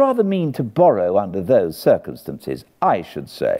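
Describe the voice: A man puts on a character voice with a fairly low pitch and a dark, mellow tone. He moves at a moderate pace with very wide pitch swings.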